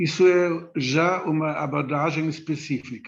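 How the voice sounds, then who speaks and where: Speech unfolds very slowly. Its pitch shifts in an ordinary way. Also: man. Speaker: philosophy professor. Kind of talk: lecture.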